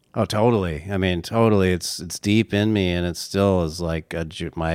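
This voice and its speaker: In a very clean recording with a silent background, a man with an American accent speaks at a fairly slow pace in a very deep, low pitch, his intonation fairly even. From Southern California, Orange County. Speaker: singer-songwriter. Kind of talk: casual interview chat. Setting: in person, Santa Barbara.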